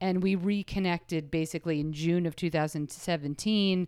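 This woman has a fairly low pitch and speaks at a moderate pace. The recording is very clean, with a silent background. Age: 40s. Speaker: comedian and TV writer. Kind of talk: casual interview storytelling. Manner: animated, frequent fillers and laughs.

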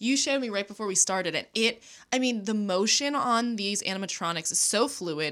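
Recorded very cleanly over a silent background, a woman uses a normal speaking voice at medium pitch. She talks at a fairly quick pace with lively intonation. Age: 30s. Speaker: podcast co-host. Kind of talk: casual chat.

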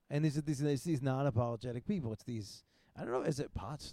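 A quiet man with a dark, mellow tone and medium pitch speaks at a fairly quick pace. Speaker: podcast host; comedian. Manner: fast talker, speaks quietly.

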